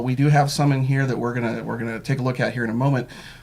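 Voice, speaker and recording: There is noticeable background noise behind this man. He speaks at a very fast pace with a medium pitch. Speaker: local news interview host. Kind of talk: interview.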